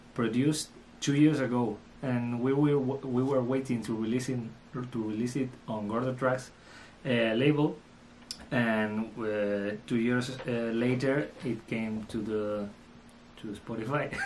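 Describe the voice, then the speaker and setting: A man with a Spanish accent speaks at a medium pitch and a fairly slow pace. He leaves long, frequent pauses, and the room echo is audible. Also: fairly even intonation. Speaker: electronic music producer and DJ. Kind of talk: interview. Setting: studio. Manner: halting.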